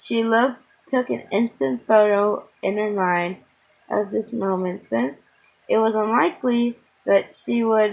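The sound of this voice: An unforced reading voice with ordinary shifts in pitch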